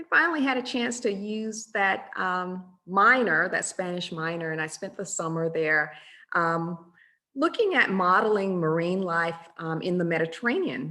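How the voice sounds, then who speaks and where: At a moderate pace, the voice has a bright, sharp tone and ordinary pitch variation. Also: woman, medium pitch for a woman. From US South, rural Georgia. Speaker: math professor. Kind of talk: webinar presentation. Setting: online webinar. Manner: hesitant with frequent um fillers.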